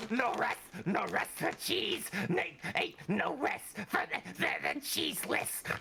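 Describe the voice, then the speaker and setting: In a put-on character voice, the speaker uses a fairly high pitch with very wide pitch swings at a fairly slow pace, over clear background noise. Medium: actual play. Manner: stammering, repetitive.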